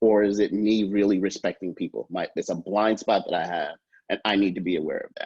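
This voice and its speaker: Fairly quick pace in a dry, close sound with no echo. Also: man. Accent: New York. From New York. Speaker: professor. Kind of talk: lecture. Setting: video call. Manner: fast.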